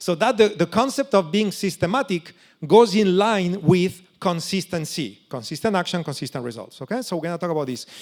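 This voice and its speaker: Pitched high, a man talks at a fairly quick pace with lively intonation. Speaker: options trading educator. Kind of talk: seminar presentation. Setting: stage with audience. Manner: fast.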